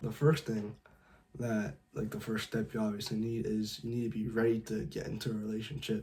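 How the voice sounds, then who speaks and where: At a fairly quick pace, a man speaks in a medium-pitched, dark, mellow and somewhat breathy voice. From California. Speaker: dating advice youtuber. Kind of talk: tutorial. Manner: casual, lots of filler words.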